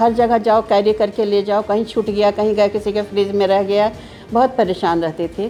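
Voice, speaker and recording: Amid noticeable background noise, a woman speaks at a medium pitch and moderate pace with monotone, flat intonation. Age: 60s. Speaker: patient giving testimonial. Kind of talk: testimony.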